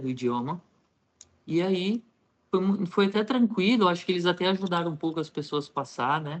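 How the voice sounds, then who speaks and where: A man in an unremarkable speaking voice, at a moderate pace with ordinary pitch variation. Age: 30s. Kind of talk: interview, personal testimony.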